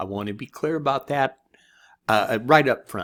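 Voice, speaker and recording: Ordinary pitch variation marks a man's speech, with quiet behind him. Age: 60s. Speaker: online marketing course reviewer. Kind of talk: screen-share product review. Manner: casual, conversational. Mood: encouraging, reassuring. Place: home room.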